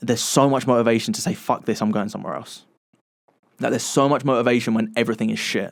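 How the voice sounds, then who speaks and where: Speaking at a very fast pace with an English accent, a man uses a medium pitch, ordinary pitch variation and vocal fry. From England. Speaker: podcast co-host. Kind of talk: casual chat.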